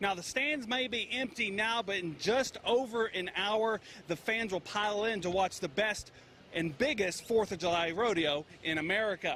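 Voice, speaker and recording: A man raises and projects his high-pitched voice while keeping a moderate pace. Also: ordinary pitch variation. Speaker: sports reporter. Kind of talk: local TV sports news report.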